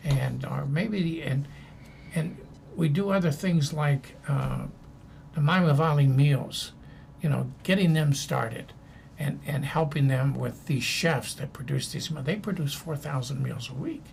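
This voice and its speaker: In a room with audible echo, a man talks at a fairly slow pace in a fairly high pitch, with ordinary pitch variation. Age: 80s+. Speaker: former ambassador and anti-hunger advocate. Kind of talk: interview conversation. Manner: halting, many fillers.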